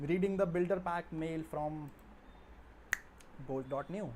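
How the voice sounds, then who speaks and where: Here a man speaks at a very slow pace. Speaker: software developer livestreamer. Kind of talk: live coding stream talk. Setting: livestream.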